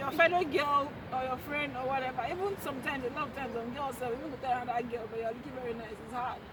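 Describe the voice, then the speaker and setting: A woman with a high pitch talks at a very fast pace, her loudness swinging widely. Audible room echo and crowd noise fill the background. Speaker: YouTuber. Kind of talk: casual chat.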